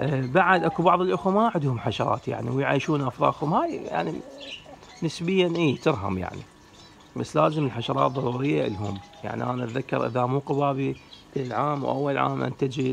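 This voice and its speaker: Over light background noise, a man speaks at a moderate pace. His intonation is lively. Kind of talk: casual tutorial talk.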